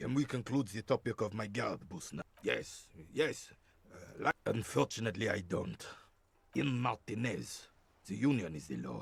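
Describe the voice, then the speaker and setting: A man's put-on character voice, raspy and fairly low-pitched, with very wide pitch swings at a moderate pace. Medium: video game. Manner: gruff, curt.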